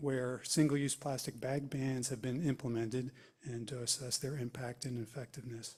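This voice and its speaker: Moderate pace and a dark, mellow, somewhat breathy tone in a man's voice. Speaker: environmental council member. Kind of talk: committee report. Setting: township public meeting. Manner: halting, many fillers.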